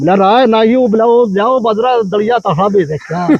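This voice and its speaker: At a moderate pace, a man speaks with a Haryana accent. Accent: Haryanvi. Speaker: storyteller. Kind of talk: interview answer, folk storytelling.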